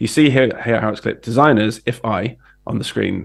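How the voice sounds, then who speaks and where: A man with a British accent speaks at a moderate pace and medium pitch, with ordinary pitch variation. Vocal fry runs through his voice. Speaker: design educator. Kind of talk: tutorial. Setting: livestream.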